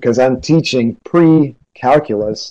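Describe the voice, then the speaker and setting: With an American accent, a man speaks at medium pitch. His tone is dark and mellow. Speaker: teacher. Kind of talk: lecture. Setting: video call.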